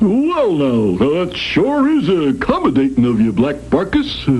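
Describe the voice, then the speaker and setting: In a cartoonish character voice, someone talks at a fairly slow pace over clear background noise. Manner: hesitant, folksy.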